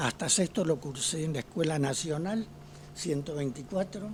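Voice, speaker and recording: A man at a fairly high pitch and fairly slow pace, with ordinary pitch variation, over noticeable background noise. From Argentina, Ceres (Santa Fe). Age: 80s+. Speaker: retired pediatrician. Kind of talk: interview.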